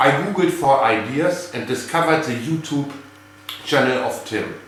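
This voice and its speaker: With a German accent, a man talks at a fairly slow pace with ordinary pitch variation, audible room echo and noticeable background noise. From Germany. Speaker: geocacher and hobby cache builder. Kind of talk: prepared video greeting.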